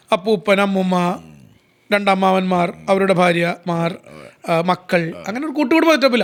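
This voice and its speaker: Here a man talks in a high pitch. His intonation is lively. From Kerala. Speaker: sports commentator. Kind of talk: interview answer.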